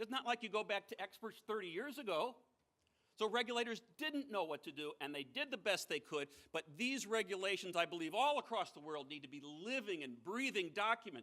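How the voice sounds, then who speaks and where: A man's raised, projected voice, high-pitched and bright and sharp in tone, with an American accent, very wide pitch swings and a fairly quick pace. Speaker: former financial regulator giving a keynote speech. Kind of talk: conference keynote speech.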